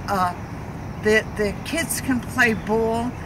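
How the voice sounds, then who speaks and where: A woman with an American accent and fairly high pitch, in a room with audible echo and noticeable background noise. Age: 80s+. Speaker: community activist. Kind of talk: interview. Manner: halting.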